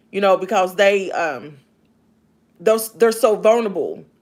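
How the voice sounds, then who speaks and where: Someone speaks with a Kentucky accent at a moderate pace. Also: woman. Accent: Southern US (Kentucky). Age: 50s. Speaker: live streamer, author and former elderly caregiver. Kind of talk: casual live stream chat. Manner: loud; sounds like screaming.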